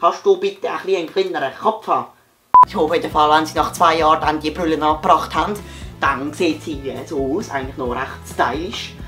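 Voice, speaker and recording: Over music in the background, a man with a fairly high voice talks at a fairly quick pace in a playful tone, with ordinary pitch variation. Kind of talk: comedic parody of a TV shopping ad. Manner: hesitant, playful.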